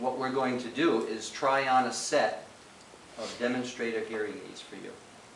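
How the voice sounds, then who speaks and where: A man at medium pitch and moderate pace, with noticeable background noise and audible room echo. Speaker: hearing aid specialist. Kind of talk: role-play training session. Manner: loud.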